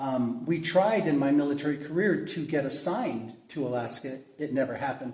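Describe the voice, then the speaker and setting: A man at a fairly quick pace with hardly any pauses and ordinary pitch variation, amid audible room echo and noticeable background noise. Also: fairly high pitch for a man. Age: 60s. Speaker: pastor. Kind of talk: interview. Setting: church.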